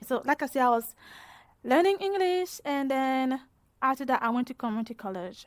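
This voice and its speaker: With a French-speaking African accent, a woman speaks in a high pitch with lively intonation. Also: fairly quick pace. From West Africa, French-speaking country. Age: 20s. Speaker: PhD student in engineering. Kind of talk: interview testimony. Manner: hesitant, repetitive.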